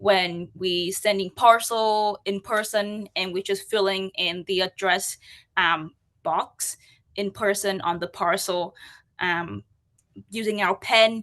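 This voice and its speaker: A bright, sharp tone with a Vietnamese accent, fairly slow pace and fairly even intonation. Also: woman, quiet background. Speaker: UX and accessibility practitioner. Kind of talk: conference talk.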